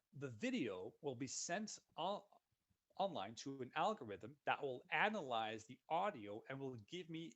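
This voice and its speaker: With a Dutch accent, a man speaks at medium pitch and with lively intonation. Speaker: software solutions consultant. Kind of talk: webinar software demo. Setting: online webinar. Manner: casual, upbeat.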